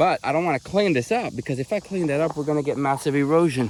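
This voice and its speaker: Over noticeable background noise, a man talks at a very fast pace in a fairly high pitch with ordinary pitch variation. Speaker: homesteader. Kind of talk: casual vlog narration while working outdoors. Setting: outdoors on farm. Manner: halting.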